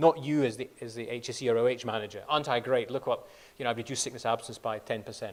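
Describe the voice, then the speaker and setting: A man talks at a very fast pace with a Scottish accent. His pitch sits in the medium range. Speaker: company chief medical officer. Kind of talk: conference presentation. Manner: repetitive false starts.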